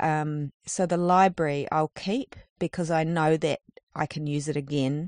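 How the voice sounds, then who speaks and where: In a New Zealand accent, a woman speaks at a very deep, low pitch with fairly even intonation, the sound dry and close with no echo. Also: fairly slow pace. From New Zealand, far north. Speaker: street artist. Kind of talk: interview. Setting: in a campervan.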